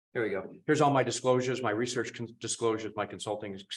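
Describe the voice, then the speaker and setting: The man talks with an American accent and fairly even intonation, in a very clean recording with a silent background. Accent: Boston accent, comes out over time. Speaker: cardiologist, professor of medicine. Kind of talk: conference talk. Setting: symposium stage with audience.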